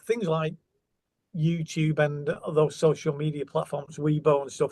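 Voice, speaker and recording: A man with a Manchester accent, fairly high-pitched, dark and mellow in tone, at a fairly slow pace. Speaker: guitar company representative. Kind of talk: interview. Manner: hesitant, many fillers.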